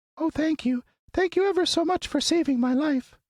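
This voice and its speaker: A squeaky, high-pitched put-on character voice delivered at a moderate pace. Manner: grateful.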